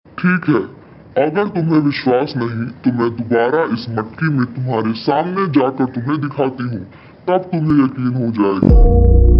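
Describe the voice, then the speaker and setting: Using a cartoonish character voice, a man speaks at a fairly slow pace and medium pitch while faint music plays in the background. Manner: menacing.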